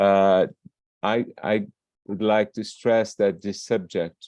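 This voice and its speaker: A man's dark, mellow, fairly low voice with a non-native accent, at a very slow pace, in a dry, close sound with no echo and a quiet background. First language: not English. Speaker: archivist. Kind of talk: conference presentation. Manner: halting.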